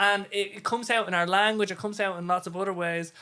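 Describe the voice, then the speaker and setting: A speaker with an Irish accent talks at a fairly quick pace in a bright, sharp tone, captured in a very clean recording with a silent background. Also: man. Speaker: podcast host. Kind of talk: casual chat. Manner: halting.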